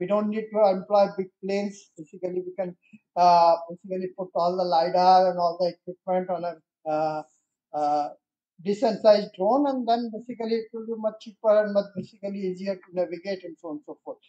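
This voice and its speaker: A dark, mellow tone with big swings in loudness, a fairly quick pace, fairly even intonation and a quiet background. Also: man, high pitch for a man. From India. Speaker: electronics industry leader; guest. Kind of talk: presentation. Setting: stage with audience. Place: hall. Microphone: podium.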